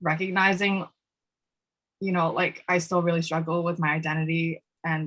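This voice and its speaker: Woman with a New York accent, a bright, sharp tone, fairly low pitch and fairly even intonation. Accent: New York American English. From Peruvian-Chinese family, raised in New York City from age 3. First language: Spanish. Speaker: student activist and panelist. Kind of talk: panel discussion. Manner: hesitant, many fillers.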